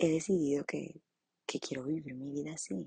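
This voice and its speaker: A woman at a moderate pace, with a dry, close sound and no echo. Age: 20s. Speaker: image consultant and podcaster. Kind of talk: casual monologue. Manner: spontaneous, with fillers.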